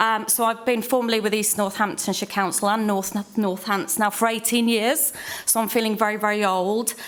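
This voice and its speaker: A woman with a Welsh accent speaks at a fairly high pitch in a monotone, flat intonation. Her loudness stays very even, and there is audible room echo. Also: moderate pace. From Wales. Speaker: tourism manager. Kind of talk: conference panel introduction.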